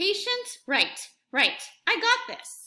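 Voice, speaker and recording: A woman puts on a character voice at an extremely high pitch. Her tone is whiny. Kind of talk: bedtime story. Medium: read story. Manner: impatient, whiny.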